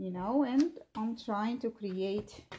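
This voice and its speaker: A dark, mellow, somewhat breathy tone with a non-native accent and lively intonation. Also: woman. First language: not English. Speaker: seamstress. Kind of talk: tutorial. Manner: halting, many fillers.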